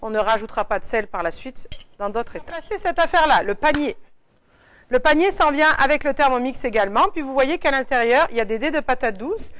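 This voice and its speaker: Speaking at a fairly quick pace, a woman uses a high pitch with very wide swings, in a very clean recording with a silent background. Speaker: cooking appliance demonstrator. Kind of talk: product cooking demonstration. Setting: appliance shop in Quebec City. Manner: fast.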